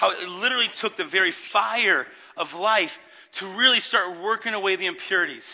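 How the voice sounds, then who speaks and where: A loud man at a high pitch, fairly quick in pace, with ordinary pitch variation. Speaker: pastor. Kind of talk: sermon. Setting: church with congregation.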